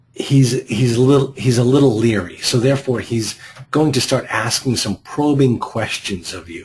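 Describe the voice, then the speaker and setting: With a Boston accent, a man at a medium pitch speaks somewhat breathily at a fairly slow pace. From US Northeast, Boston. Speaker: real estate investing coach. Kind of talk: group coaching call. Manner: halting, frequent repeated words.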